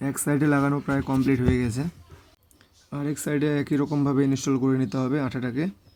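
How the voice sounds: A man speaks at a fast pace with little pitch movement. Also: medium pitch for a man, slightly mellow tone.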